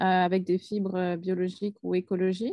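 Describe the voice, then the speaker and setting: A woman's dark, mellow tone, monotone and flat, at a fairly slow pace, with a dry, close sound, no echo and a quiet background. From France. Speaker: textile business owner. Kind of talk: casual chat. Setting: video call. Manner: halting, many hesitations.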